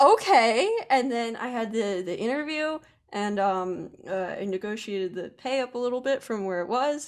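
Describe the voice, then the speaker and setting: A woman with an American accent and an unremarkable speaking voice, fairly high in pitch, at a moderate pace with lively intonation. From Pennsylvania, US. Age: 20s. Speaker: web designer. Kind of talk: casual interview.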